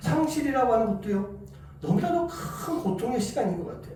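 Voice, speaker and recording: Over noticeable background noise and audible room echo, a man with a slight Busan accent talks fairly quickly at an extremely high pitch with very wide pitch swings. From South Korea, Busan. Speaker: pastor. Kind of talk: sermon.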